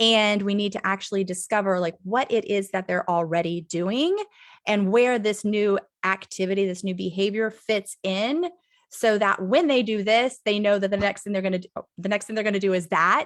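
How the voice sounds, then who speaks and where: A woman with an unremarkable speaking voice keeps a moderate pace and ordinary pitch variation on a very clean recording with a silent background. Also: medium pitch for a woman. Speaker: creativity coach. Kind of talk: presentation. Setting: live stream.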